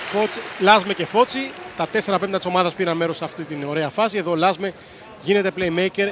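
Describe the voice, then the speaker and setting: A man with a high pitch speaks at a moderate pace and with ordinary pitch variation, against noticeable background noise. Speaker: basketball commentator. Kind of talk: live sports commentary on basketball highlights.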